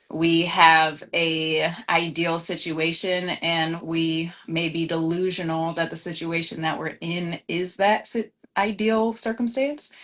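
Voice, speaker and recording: Very slowly yet with hardly any pauses, a woman with an American accent speaks at a fairly low pitch, her intonation fairly even. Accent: slight twang, taken for Southern. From Sacramento, California. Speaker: actress. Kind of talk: casual live-stream interview. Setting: Instagram live video call.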